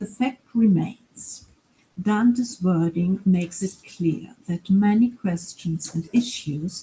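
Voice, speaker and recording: A woman with a German accent, very slow pace, dark, mellow tone, somewhat breathy delivery and ordinary pitch variation. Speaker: professor. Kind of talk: lecture.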